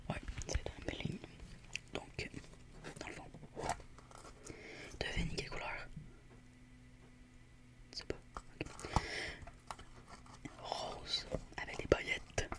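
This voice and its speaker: Someone whispers at a very slow pace, leaving long, frequent pauses. Noticeable background noise runs underneath. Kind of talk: ASMR roleplay as a squishy shop seller talking to a customer.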